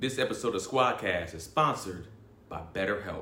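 Amid audible room echo, a man talks at a fairly quick pace with ordinary pitch variation. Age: 30s. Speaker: podcast panelist. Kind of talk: read-out advertisement.

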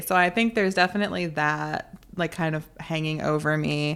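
A woman with an American accent has an ordinary speaking voice. Her pitch is fairly low and her intonation fairly even. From US South, North Carolina. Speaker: author and podcaster. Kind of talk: interview.

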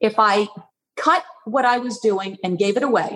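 A woman's fairly high-pitched, normal speaking voice, with ordinary pitch variation and a moderate pace. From Long Island, New York. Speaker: artist. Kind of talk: interview.

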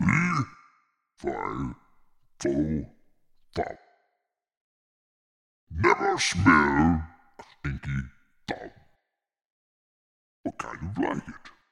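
In a put-on character voice, a man speaks very slowly at a very deep, low pitch, leaving long, frequent pauses. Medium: actual play. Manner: confused, slow.

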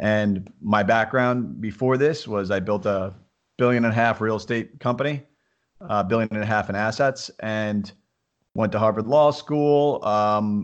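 With a plain, everyday voice, a man talks fairly slowly at a medium pitch in an American accent. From upstate New York. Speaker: entrepreneur. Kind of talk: interview.

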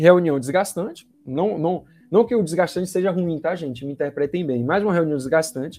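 His tone is dark and mellow, though the man's pitch is high. He talks at a fairly quick pace. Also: ordinary pitch variation. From Brazil, Bahia (Salvador). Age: 30s. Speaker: sales representative. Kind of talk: podcast interview.

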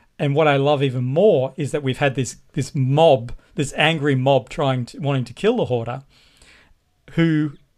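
The recording is very clean, with a silent background. A man with a fairly high pitch speaks at a moderate pace with ordinary pitch variation. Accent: Australian. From Australia. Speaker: artist and illustrator. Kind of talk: casual chat.

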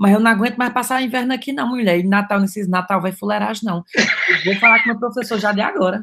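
A man's raised, projected voice with a Cearense accent, high in pitch with ordinary pitch variation, at a very fast pace with hardly any pauses. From Ceará, Brazil (Cariri). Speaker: comedic social media influencer. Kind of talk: casual chat.

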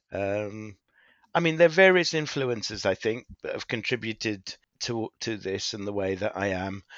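A man with a British accent speaks at medium pitch and a moderate pace, his intonation lively. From grew up in the UK from boarding school on; born in Kenya, Goan roots. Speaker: pharmaceutical medical consultant, doctor. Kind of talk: casual interview.

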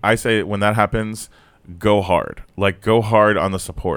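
In a very clean recording with a silent background, a man with an ordinary speaking voice talks at a moderate pace and a fairly low pitch. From South Florida. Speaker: comedian. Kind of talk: casual chat.

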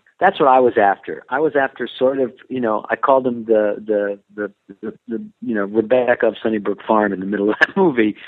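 His is an ordinary speaking voice at a medium pitch, with ordinary pitch variation. The man talks at a fairly quick pace with hardly any pauses. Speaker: actor. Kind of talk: interview.

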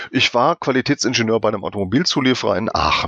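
A man speaks at a fairly quick pace with a medium pitch. The sound is dry and close with no echo, over a quiet background. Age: 50s. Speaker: quality management expert. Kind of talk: interview. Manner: halting.

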